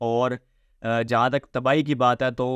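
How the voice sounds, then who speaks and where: A man's flat, monotone delivery, dry with no echo, against a quiet background. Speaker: news commentator. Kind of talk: commentary. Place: home room.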